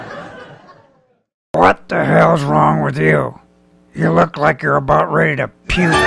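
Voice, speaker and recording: A man uses a put-on character voice, raspy and very deep and low in pitch. He keeps a moderate pace with long, frequent pauses. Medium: puppet. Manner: grumpy, wisecracking.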